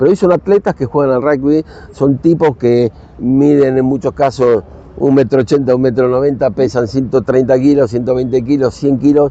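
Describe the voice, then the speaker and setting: In a Rioplatense accent, a man speaks at a medium pitch and moderate pace, with ordinary pitch variation and very even loudness over noticeable background noise. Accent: Argentine Rioplatense Spanish. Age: 60s. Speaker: rugby coach and former international player. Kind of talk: casual chat.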